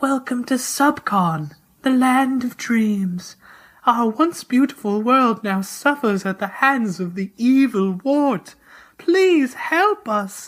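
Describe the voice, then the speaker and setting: A put-on character voice at a fairly slow pace. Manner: quiet, gentle.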